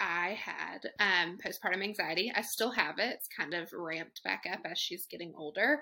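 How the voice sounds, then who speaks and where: With a Southern US accent, a woman speaks at a moderate pace and medium pitch with ordinary pitch variation, a bright, sharp tone and hardly any pauses. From Chattanooga, Tennessee. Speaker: guest, mom ambassador. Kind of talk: casual chat.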